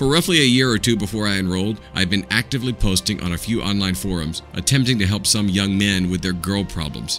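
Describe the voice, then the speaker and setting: Fairly low-pitched man talking very fast with hardly any pauses, music in the background. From Southern United States. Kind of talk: audiobook narration. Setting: home recording, unedited.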